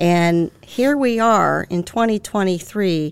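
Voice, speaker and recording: A woman speaks in an unremarkable speaking voice. Her pitch is medium, with ordinary variation. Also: very clean recording, silent background. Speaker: author and podcast co-host. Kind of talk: podcast conversation, interview.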